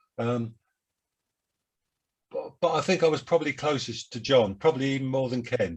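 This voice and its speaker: A man with a Cockney accent talks at a moderate pace in a fairly high, somewhat breathy voice, with long, frequent pauses. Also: ordinary pitch variation. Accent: Cockney London English. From London, England. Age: 70s. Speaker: jazz saxophonist. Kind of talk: interview. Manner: halting.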